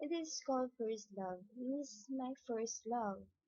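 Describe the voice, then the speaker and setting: The voice belongs to a woman and is somewhat breathy. She talks at a very slow pace. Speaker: amateur rapper. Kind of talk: casual video intro.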